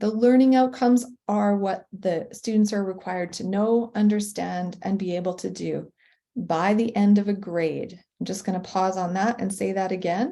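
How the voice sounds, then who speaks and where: In a Canadian accent, a woman speaks at a moderate pace with a medium pitch, fairly even intonation and a dark, mellow tone. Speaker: professional learning designer for teachers. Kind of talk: webinar presentation.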